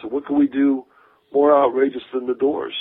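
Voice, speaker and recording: With an American accent, a man speaks in a normal speaking voice at a moderate pace and a medium pitch. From Akron, Ohio. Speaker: rock drummer. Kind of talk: interview.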